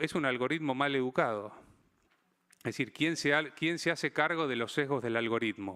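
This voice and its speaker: A man speaks fairly quickly, his pitch moving in an ordinary way. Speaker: physician and health digital consultant, conference speaker. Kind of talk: conference talk. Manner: fast; hesitant with repetitions.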